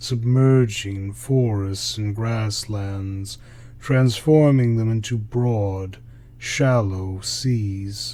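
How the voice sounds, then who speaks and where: A soft-spoken man talks at a very slow pace in a fairly low pitch. His tone is dark, mellow and breathy, with fairly even intonation. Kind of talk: sleep story. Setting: no background music. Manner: slow, soft-spoken.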